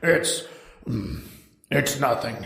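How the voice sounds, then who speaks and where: With slight echo, a man delivers a raspy, put-on character voice. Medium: read story.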